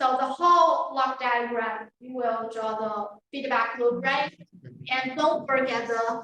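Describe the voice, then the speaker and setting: In a Chinese accent, a woman talks very slowly in a high-pitched, bright, sharp tone with ordinary pitch variation, and audible room echo surrounds her voice. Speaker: university lecturer. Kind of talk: lecture. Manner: halting.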